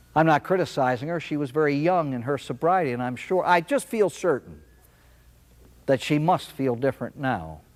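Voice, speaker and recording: A man speaks at a moderate pace with a fairly high pitch and ordinary pitch variation, in a normal speaking voice. The recording is very clean, with a silent background. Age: 60s. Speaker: priest giving recovery talk. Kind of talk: inspirational talk.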